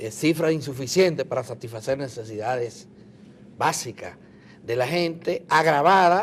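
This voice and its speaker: A man's normal speaking voice, fairly high in pitch, with lively intonation. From Dominican Republic. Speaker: TV interviewer. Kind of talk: TV interview.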